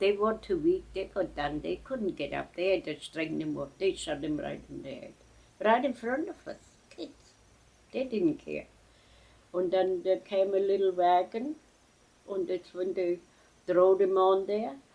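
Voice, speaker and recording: A woman speaks at a medium pitch in a dark, mellow tone, her pitch swinging very widely and her loudness shifting a lot. She goes at a fairly slow pace with long, frequent pauses. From Germany. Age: 80s+. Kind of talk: interview answer. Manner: reminiscing.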